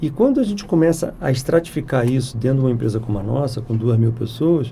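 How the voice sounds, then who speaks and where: The pace is very fast. There is audible room echo. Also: man, medium pitch for a man, ordinary pitch variation. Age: 60s. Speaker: software company president. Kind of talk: podcast interview.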